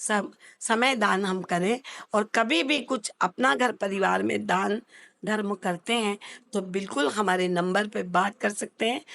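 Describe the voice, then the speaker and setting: A woman with a medium pitch speaks with vocal fry at a very even loudness. The sound is dry and close with no echo, over a quiet background. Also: ordinary pitch variation. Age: 60s. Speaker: social worker running an old age home. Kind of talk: interview. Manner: formal.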